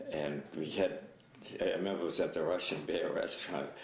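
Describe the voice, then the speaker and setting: Light background noise sits under a man's speech, which has audible room echo. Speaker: interviewee. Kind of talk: interview answer, storytelling. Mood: amused, relaxed. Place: office.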